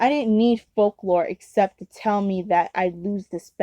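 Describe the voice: A quiet background behind plain reading aloud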